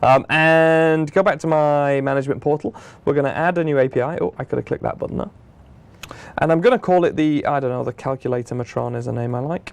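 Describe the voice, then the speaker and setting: A man with a fairly high pitch races along at a very fast pace, varying his pitch in an ordinary way. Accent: British. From Britain. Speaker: software product manager. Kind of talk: tutorial. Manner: casual, conversational.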